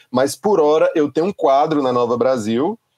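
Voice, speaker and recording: A man with a plain, everyday voice and lively intonation. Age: 40s. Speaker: music journalist and critic. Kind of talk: casual interview.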